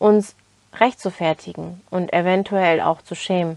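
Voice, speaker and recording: Using a fairly slow pace, a woman with a Turkish accent speaks at a medium pitch. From Turkey, then Germany from age 11. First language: Turkish (speaking German). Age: 20s. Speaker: self-development podcaster. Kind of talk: motivational monologue.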